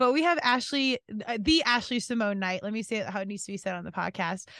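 A woman talks against a quiet background. The sound is dry, with no echo. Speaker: podcast host. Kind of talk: casual podcast intro chat. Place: studio. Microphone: studio mic.

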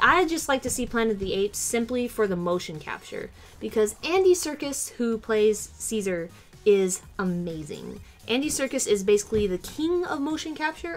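Faint music plays in the background of speech at a moderate pace. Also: woman. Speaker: vlogger. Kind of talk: casual vlog chat. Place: home room. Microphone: webcam.

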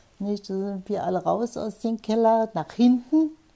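A woman's somewhat breathy voice with a dark, mellow tone, at a moderate pace. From Potsdam. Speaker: war eyewitness. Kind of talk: interview answer. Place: home room.

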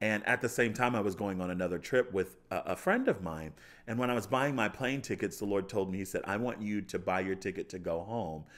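An American man talks in an animated tone at a fairly quick pace, with hardly any pauses. His fairly low pitch shows ordinary variation, and the background is quiet. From US, Baltimore suburbs, Maryland. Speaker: chef and pastor. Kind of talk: testimony. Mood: joyful, warm. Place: studio. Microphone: studio mic.

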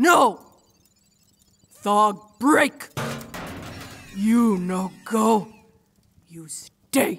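A woman's put-on character voice, medium in pitch with a slightly husky edge, very slow, with lively intonation and long, frequent pauses.

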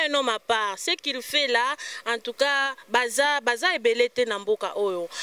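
A woman speaks in a high pitch with lively intonation at a fairly slow pace. Her sound is dry, with no echo. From DR Congo. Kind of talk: TV talk show interview. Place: street. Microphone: handheld.

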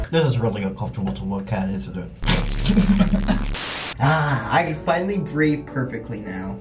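Noticeable background noise sits under a man speaking at a moderate pace with long, frequent pauses. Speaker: vlogger. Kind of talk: casual talk to camera. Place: bathroom. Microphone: phone near.

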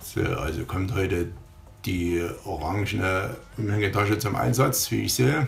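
In a Saxon accent, a man with a very deep, low pitch speaks at a fairly slow pace with lively intonation over noticeable background noise. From Saxony. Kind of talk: humorous voice-over commentary.

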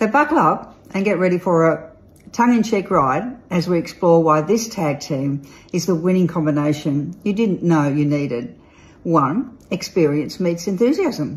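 A woman with an Australian accent speaks at a moderate pace in a fairly low, somewhat breathy voice, with a playful, upbeat tone and lively intonation. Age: old. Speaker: real estate agent and auctioneer. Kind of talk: casual talk to camera, promotional message. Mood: playful, tongue-in-cheek. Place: home room. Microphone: phone near.

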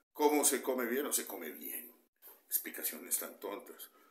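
The speaker talks at a moderate pace. There is audible room echo. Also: man. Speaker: nutrition coach. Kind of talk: casual vlog advice. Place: home room. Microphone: phone near.

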